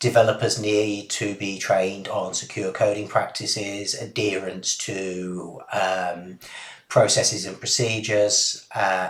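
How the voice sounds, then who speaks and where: There is audible echo from the room. Through it, a man's voice comes across. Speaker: postgraduate cybersecurity student. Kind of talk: academic presentation. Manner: hesitant, with frequent ums and uhs.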